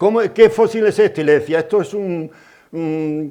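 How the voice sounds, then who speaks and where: The speaker is a man with a high pitch. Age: 80s+. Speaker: geologist. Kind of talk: lecture. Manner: halting.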